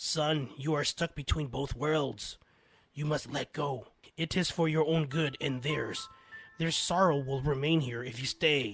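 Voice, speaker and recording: Over faint music in the background, a man uses a raspy, put-on character voice at a fairly high pitch and a fairly slow pace. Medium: read story. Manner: gentle, calm.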